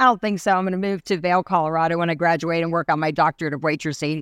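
A woman with an ordinary speaking voice, a fairly low pitch and ordinary pitch variation in an American accent, on a very clean recording with a silent background and a dry, close sound with no echo. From US South, Asheville, North Carolina. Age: 50s. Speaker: empowerment speaker. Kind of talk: interview.

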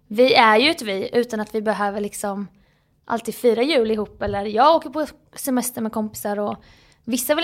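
A woman with a fairly high pitch and an unremarkable speaking voice, at a fairly quick pace with ordinary pitch variation, on a very clean recording with a silent background. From Jönköping, Småland, Sweden. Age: 30s. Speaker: comedian and social media creator. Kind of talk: casual chat.

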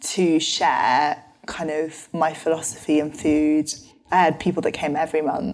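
With a London accent, a woman talks at a fairly slow pace. Her very deep, low voice stays monotone and flat. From London, England. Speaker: nutritional therapist and author. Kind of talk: interview conversation.

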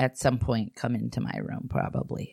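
A woman is speaking. Her voice has vocal fry. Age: 30s. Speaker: podcast co-host, mother, author. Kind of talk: casual chat.

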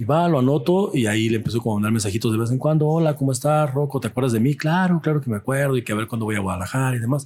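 At a very fast pace, a man speaks in a somewhat breathy, medium-pitched voice with ordinary pitch variation. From Mexico, Jalisco (rural ranch near Zapotlanejo). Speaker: artist. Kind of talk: casual chat. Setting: brewery.

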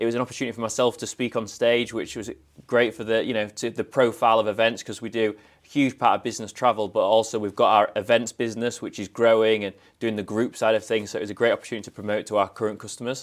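A man with a northern English accent talks very fast at a medium pitch in a flat monotone. The recording is very clean, with a silent background. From northern England, Scarborough (Yorkshire). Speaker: travel industry manager. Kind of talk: casual interview. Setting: in-person recording at an event venue.

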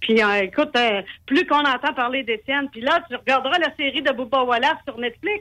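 A woman's high, raised, projected voice with a bright, sharp tone, ordinary pitch variation and a fairly quick pace. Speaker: racing driver's mother, author. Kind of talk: radio interview. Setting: phone call.

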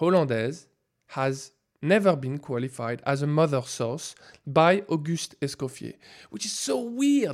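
This man talks at a fairly slow pace with a French accent. His intonation is lively. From France. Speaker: food scientist. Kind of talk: interview.

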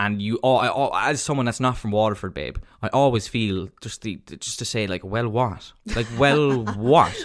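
A man with a slight Cork accent talks at a fairly slow pace, his pitch medium. His pitch varies in an ordinary way on a very clean recording with a silent background. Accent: Irish, mild Cork. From Cork, Ireland. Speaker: podcast co-host. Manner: casual, chatty, swears freely.

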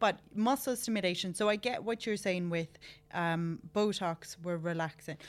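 A woman with an Irish accent, medium in pitch, with ordinary pitch variation at a moderate pace. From Ireland. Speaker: podcast host in skincare industry. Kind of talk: casual interview. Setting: studio.

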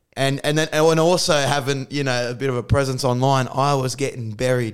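Speaking with an Australian accent, this man keeps to a moderate pace. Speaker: comedian. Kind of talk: casual chat. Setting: video call.

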